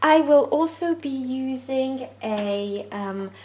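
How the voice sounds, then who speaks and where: A woman is speaking. She has a French accent. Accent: French accent, noted by self. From France. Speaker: crochet tutorial creator. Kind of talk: tutorial. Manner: hesitant with frequent fillers.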